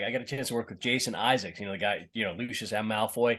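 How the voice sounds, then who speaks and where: Against a quiet background, a man talks with a slight Boston accent. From Boston, US. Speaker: actor. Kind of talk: interview. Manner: halting, many repetitions.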